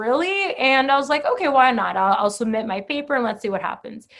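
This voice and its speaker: Using a plain, everyday voice, a woman talks at a fairly quick pace with lively intonation. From Boca Raton, Florida (born in Brazil). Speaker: author. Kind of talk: casual chat.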